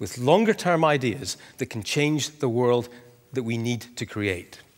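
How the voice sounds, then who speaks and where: A man with a Scottish accent at a moderate pace. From Scotland. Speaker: author and economic commentator. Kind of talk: conference talk.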